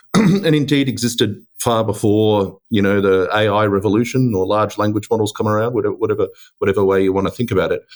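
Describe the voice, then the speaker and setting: A man with an Australian accent speaks at a very fast pace. His pitch is fairly low, with fairly even intonation and very even loudness. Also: hardly any pauses. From Australia, Melbourne. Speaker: tech executive. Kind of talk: podcast interview. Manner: hesitant, many fillers.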